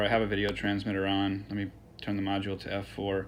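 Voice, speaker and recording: A man with a fairly low pitch at a fairly quick pace, with audible room echo. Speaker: drone equipment seller. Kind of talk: product tutorial. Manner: fast; hesitant, many fillers.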